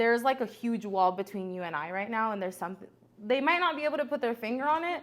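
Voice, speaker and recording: Speaking at a very fast pace, a woman with a Spanish accent sounds animated, with very wide pitch swings. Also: fairly high pitch for a woman. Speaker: entrepreneur. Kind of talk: podcast interview.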